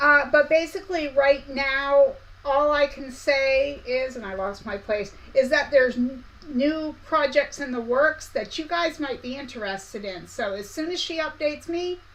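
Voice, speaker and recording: Over noticeable background noise, a woman with a high pitch talks at a moderate pace, her loudness swinging widely while her pitch varies in an ordinary way. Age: 50s. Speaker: quilting/sewing YouTuber. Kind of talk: live stream chat. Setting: live stream. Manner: casual, chatty.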